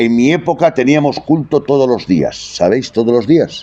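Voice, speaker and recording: A man talks at a fairly slow pace with a medium pitch. His tone is dark and mellow. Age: 70s. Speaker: preacher. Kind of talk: sermon. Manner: animated.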